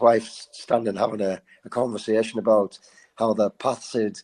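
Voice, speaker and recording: Speaking with a northern English accent, a man has a dark, mellow tone, a fairly low pitch and monotone, flat intonation at a moderate pace. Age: 50s. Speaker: charity fundraiser and endurance runner. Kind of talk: casual interview storytelling.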